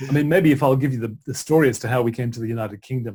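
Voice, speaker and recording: At a very fast pace, a man talks in a medium pitch with a dark, mellow tone, somewhat breathy and with fairly even intonation. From Australia. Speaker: author and broadcaster. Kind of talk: interview conversation.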